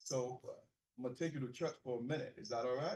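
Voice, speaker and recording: The speaker has a Haitian accent and keeps a fairly even intonation. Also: man. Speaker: pastor. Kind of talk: keynote speech.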